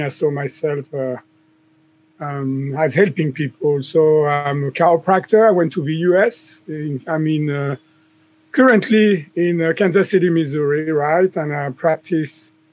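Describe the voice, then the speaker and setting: This man has a fairly high voice with a slight French accent. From southern France. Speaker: chiropractor and author. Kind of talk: podcast interview. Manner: hesitant, many fillers.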